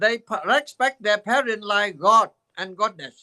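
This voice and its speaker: In a dry, close sound with no echo, a man with a high, bright, sharp voice projects it loudly at a very slow pace. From Vietnam. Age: 80s+. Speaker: Buddhist teacher. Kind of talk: dharma talk. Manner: halting.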